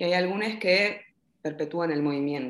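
Speaking in a Rioplatense accent, a woman uses lively intonation at a medium pitch. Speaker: psychologist working with migrants. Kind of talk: casual chat.

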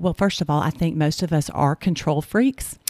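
The speaker has a Southern US accent. The recording is very clean with a silent background, and the sound is dry and close with no echo. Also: woman. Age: 50s. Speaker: podcast host and Bible study leader. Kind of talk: casual faith conversation, testimony.

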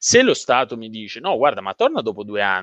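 Here a man is talking. The background stays quiet, and the sound is dry and close with no echo. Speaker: co-host. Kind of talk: live panel discussion.

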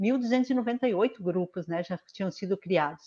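The background is quiet, and the sound is dry and close with no echo. A woman speaks at a medium pitch with ordinary pitch variation. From Paraná, Brazil (southwest). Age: 50s. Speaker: state politician. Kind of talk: online panel discussion. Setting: video call live stream.

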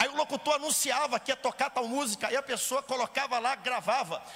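A man's raised, projected voice at an extremely high pitch, moderate in pace, with fairly even intonation and noticeable background noise. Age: 30s. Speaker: pastor. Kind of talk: sermon.

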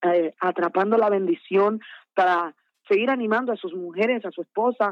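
Moderate pace and ordinary pitch variation from a woman at medium pitch. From Dominican Republic, Santo Domingo. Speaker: gospel singer. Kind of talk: interview. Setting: phone call.

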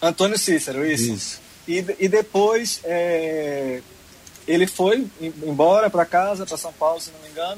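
A man's high-pitched voice at a fairly slow pace, with ordinary pitch variation, big swings in loudness and noticeable background noise. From Pernambuco, Brazil (Arcoverde). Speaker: singer-songwriter. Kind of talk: interview. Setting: online remote interview.

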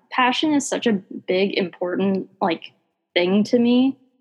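A somewhat breathy woman's voice, fairly high-pitched, with an American accent. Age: 20s. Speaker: ice cream business founder. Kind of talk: casual interview.

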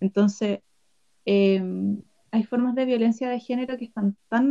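Her dark, mellow tone sits at a fairly high pitch, and this woman moves at a moderate pace with ordinary pitch variation. The sound is dry and close with no echo. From Chile, Chillán. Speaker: anthropologist and film festival director. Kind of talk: casual chat.

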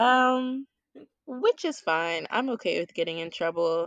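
A woman with an ordinary speaking voice talks at a fairly slow pace with ordinary pitch variation, in a dry, close sound with no echo. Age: 20s. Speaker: teacher. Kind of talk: casual chat.

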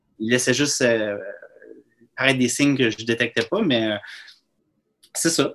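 At a moderate pace and a medium pitch, a man talks with long, frequent pauses. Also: ordinary pitch variation. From New Brunswick, Bathurst (Acadia). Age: 30s. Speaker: filmmaker and author. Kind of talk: casual chat.

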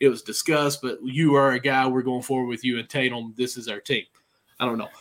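A man with an unremarkable speaking voice talks at a fairly quick pace, his pitch medium and his intonation fairly even. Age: 30s. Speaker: sports podcast host. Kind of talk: casual chat.

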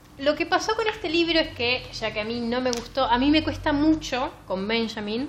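A woman's high voice moves at a fairly slow rate while noticeable background noise runs underneath. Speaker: book podcast host. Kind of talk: casual chat.

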